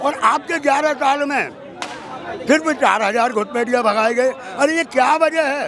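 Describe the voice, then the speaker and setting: Someone speaks in an animated tone with ordinary pitch variation while crowd noise fills the background. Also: man. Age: 60s. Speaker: member of the public interviewed. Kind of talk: street interview.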